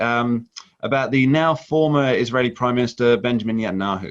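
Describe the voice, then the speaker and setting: Speaking fairly quickly, a man with a Birmingham accent uses a medium pitch. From England, Birmingham. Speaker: radio host. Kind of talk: interview.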